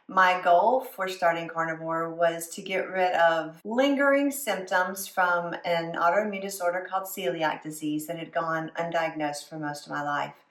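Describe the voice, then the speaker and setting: Over noticeable background noise, a woman with a Southern US accent and a fairly low pitch talks at a moderate pace with hardly any pauses, big swings in loudness and ordinary pitch variation. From US South. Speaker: food and lifestyle vlogger. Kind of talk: casual vlog talk to camera.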